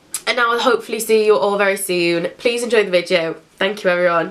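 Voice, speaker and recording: Noticeable background noise sits behind a woman with a British accent who talks at a fairly quick pace. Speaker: beauty YouTuber. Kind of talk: casual intro to camera.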